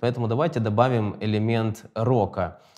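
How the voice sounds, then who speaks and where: Medium pitch from a male speaker, very clean recording, silent background. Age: 30s. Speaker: podcast host. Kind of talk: interview.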